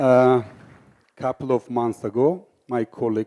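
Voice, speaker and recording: A man's very slow, dark and mellow voice in an Armenian accent, dry and close with no echo. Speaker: filmmaker and speaker. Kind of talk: conference talk.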